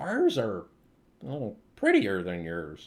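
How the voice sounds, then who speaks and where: A man puts on a character voice. He talks fairly slowly at a fairly low pitch. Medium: actual play. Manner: easygoing, casual.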